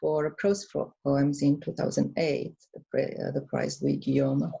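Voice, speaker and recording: A woman is speaking. She has a Romanian accent. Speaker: author. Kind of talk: book presentation. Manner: hesitant, many fillers.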